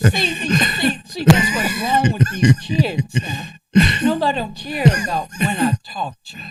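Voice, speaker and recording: Over music in the background, a man speaks at a fairly slow pace and high pitch, with very wide pitch swings and big swings in loudness. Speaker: radio host, former teacher. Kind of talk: casual interview chat. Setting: radio studio. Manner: animated, hyper.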